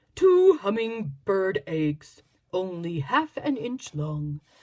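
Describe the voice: What you hear is plain reading aloud.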